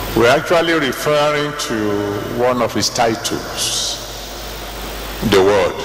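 Speech comes at a very slow pace with long, frequent pauses and ordinary pitch variation. Audible room echo and light background noise are present. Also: man, fairly high pitch for a man. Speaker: preacher, church General Overseer. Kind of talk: sermon preached to a congregation. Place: hall. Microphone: handheld.

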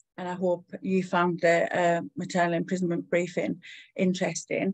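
A woman with a fairly low pitch, a dry sound with no echo and a quiet background. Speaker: speaker. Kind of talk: webinar talk. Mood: warm, lightly laughing. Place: home room. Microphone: video call.

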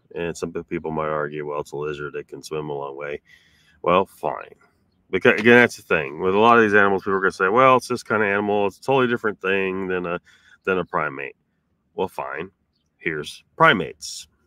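A man with a very deep, low pitch and a bright, sharp tone talks at a fairly quick pace, with lively intonation and big swings in loudness. The sound is dry and close, with no echo. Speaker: streamer hosting paranormal talk show. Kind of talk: casual live-stream chat. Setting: in a van. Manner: rambling, casual, profane.

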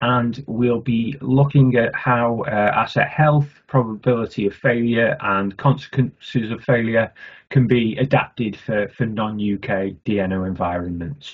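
A man talks fairly slowly, his pitch varying in an ordinary way, with a quiet background behind him. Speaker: bid manager. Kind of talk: webinar introduction. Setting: video call. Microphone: webcam.

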